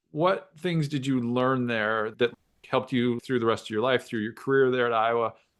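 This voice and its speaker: A man with a normal speaking voice at medium pitch and a moderate pace, over a quiet background. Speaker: podcast host, former college kicker/punter. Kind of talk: podcast host interviewing.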